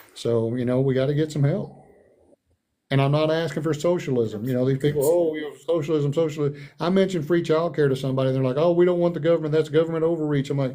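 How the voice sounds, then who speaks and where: A man with an American accent, very fast pace, fairly high pitch, dark and mellow tone, and audible room echo. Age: 60s. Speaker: political candidate. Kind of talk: town hall interview. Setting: online livestream. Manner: animated; halting.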